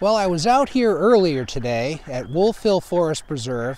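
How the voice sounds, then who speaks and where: A man with a high pitch talks at a moderate pace, his pitch swinging very widely, in a dry recording with no echo. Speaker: nature educator. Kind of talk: nature show presentation. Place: forest.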